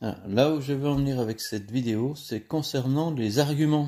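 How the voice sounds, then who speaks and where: A man's dark, mellow tone at a fairly slow pace with ordinary pitch variation, in a very clean recording with a silent background. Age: 60s. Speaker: nursing home maintenance worker and video blogger. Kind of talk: opinion monologue to camera. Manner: halting, with many hesitations.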